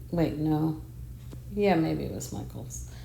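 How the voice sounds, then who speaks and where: A woman speaks quietly. Noticeable background noise and audible room echo surround her voice. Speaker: home decor vlogger. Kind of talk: casual home tour. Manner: quiet, talking low.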